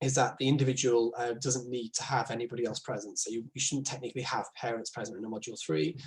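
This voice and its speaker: A man's somewhat breathy voice with fairly even intonation. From northern England. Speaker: speech and language therapist. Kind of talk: informal explainer talk. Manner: hesitant, many fillers; informal.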